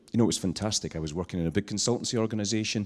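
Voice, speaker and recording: A man's dark, mellow voice, with ordinary pitch variation, is heard on a very clean recording with a silent background. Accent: Scottish. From Scotland, island. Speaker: social entrepreneur. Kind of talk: talk to an audience. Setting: stage with audience, handheld mic.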